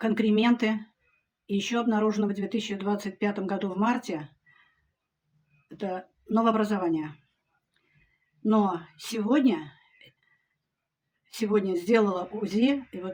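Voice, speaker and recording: A woman with a medium pitch and a somewhat breathy voice speaks at a fairly slow pace. Her loudness swings widely, and she takes long, frequent pauses. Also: ordinary pitch variation. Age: 70s. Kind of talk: testimonial to camera.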